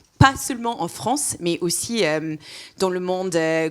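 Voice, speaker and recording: A woman talks fairly slowly, and her pitch variation is ordinary. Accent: non-native. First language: not French (speaking French). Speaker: industry patient engagement advisor. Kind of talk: interview. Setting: live event. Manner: hesitant, many fillers.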